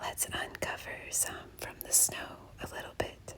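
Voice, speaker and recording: A woman whispering in a gentle tone over noticeable background noise. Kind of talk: whisper ASMR nature walk narration. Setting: outdoors, snowy forest. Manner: whispered, soft, gentle.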